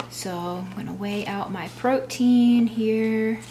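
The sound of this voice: Over faint background noise, a woman speaks slowly at a fairly high pitch, her tone dark and mellow and her pitch varying in an ordinary way.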